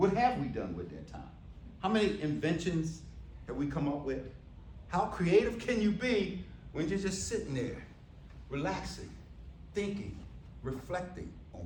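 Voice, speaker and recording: There's audible room echo as a man speaks with an American accent. He leaves long, frequent pauses. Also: big swings in loudness. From US Northeast. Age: 60s. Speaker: keynote speaker. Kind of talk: keynote speech. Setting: stage with audience. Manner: loud, commanding.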